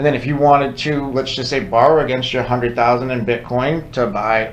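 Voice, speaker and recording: A man's medium-pitched voice with fairly even intonation, plus audible room echo and noticeable background noise. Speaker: crypto podcast co-host. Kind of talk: casual educational chat. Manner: conversational, interrupts often.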